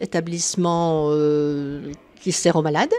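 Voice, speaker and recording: Over noticeable background noise, a woman with a fairly low pitch talks at a very slow pace. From northeastern France (Nancy). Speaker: charity volunteer, local branch head. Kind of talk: interview. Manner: halting.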